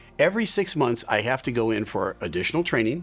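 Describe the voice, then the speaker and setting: A man speaks in a plain, everyday voice at a medium pitch and a fairly quick pace, with lively intonation. The recording is very clean, with a silent background. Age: 60s. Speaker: airline pilot and video host. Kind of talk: opinion commentary.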